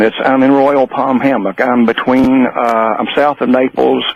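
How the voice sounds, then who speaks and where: A man speaks at a fairly slow pace and medium pitch, with hardly any pauses. His loudness stays very even despite noticeable background noise. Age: 70s. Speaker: caller. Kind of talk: casual chat. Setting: phone call.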